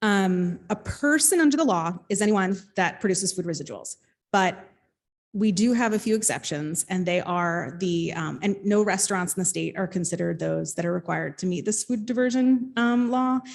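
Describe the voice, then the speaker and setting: On a very clean recording with a silent background, a woman with an American accent speaks at a medium pitch and moderate pace with lively intonation. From New Jersey. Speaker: state outreach and enforcement official. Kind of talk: panel presentation. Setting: panel with live audience. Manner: loud.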